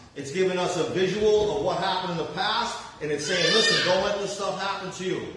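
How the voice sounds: Strong room echo rings around a man speaking at a moderate pace with high pitch. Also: fairly bright tone.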